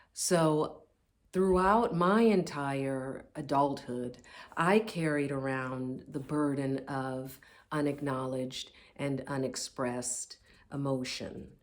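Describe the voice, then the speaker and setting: Speaking at a very slow pace, a woman with an American accent has a very deep, low pitch and ordinary pitch variation. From US Midwest, Indianapolis, Indiana. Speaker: author. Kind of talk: personal pitch video. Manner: halting.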